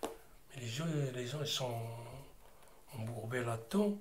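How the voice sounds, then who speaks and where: A man speaks at a very slow pace. Audible room echo and noticeable background noise fill the recording. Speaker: interviewee sharing life story. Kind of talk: testimony. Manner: loud, sounds angry though not; hesitant, repetitive casual speech.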